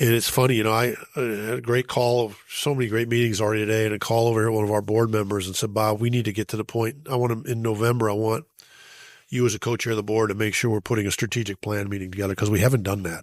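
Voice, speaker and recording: The speaker races along very fast in a flat monotone, captured in a very clean recording with a silent background. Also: man, medium pitch for a man. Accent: American. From US Midwest, Chicago. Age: 60s. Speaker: bereaved father and foundation leader, public speaker. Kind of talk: podcast interview.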